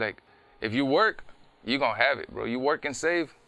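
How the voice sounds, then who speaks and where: This man talks at a fairly quick pace. His pitch is medium with ordinary variation. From Rio Grande Valley, South Texas. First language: Spanish. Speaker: rapper. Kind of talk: casual interview chat.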